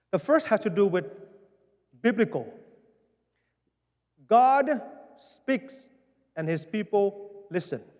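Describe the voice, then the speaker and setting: In a Vietnamese accent, a man speaks at a very slow pace with long, frequent pauses, his high voice making very wide pitch swings. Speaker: pastor. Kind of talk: town hall address. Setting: church.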